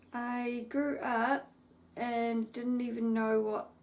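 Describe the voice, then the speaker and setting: With noticeable background noise behind her, a woman talks in a fairly high pitch. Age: 30s. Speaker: craft vlogger. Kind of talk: casual chat.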